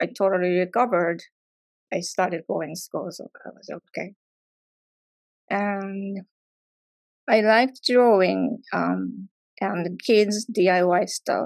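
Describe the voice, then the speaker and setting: Speaking very slowly in a Japanese accent, a woman with a medium pitch and ordinary pitch variation shows big swings in loudness and long, frequent pauses, the sound dry and close with no echo. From Japan, near Tokyo. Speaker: artist. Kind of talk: artist talk presentation. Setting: live event with audience. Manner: halting, many fillers.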